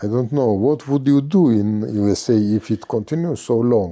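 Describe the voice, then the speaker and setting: Lively intonation marks this dark, mellow voice with a Georgian accent. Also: man. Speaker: podcast host and business owner. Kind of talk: interview conversation. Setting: library. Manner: halting, many fillers.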